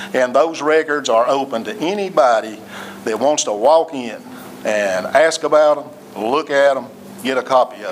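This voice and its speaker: Speaking at a moderate pace with lively intonation, a man with an East Tennessee accent has a fairly high voice, with noticeable background noise behind him. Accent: East Tennessee Southern. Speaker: city administrator. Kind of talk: council meeting address. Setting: city hall council meeting. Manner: loud.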